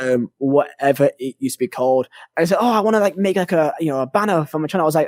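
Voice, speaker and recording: Speaking very fast with a northern English accent, a man uses a fairly high pitch in a dry, close sound with no echo. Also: lively intonation. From northern England (Burnley). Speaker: gaming YouTuber. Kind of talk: casual chat.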